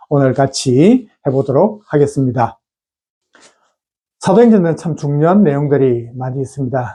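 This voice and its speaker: Somewhat breathy and dark, mellow in tone, a man speaks at a fairly high pitch and moderate pace with lively intonation. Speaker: pastor. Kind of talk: bible teaching video. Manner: many filler sounds, hesitant.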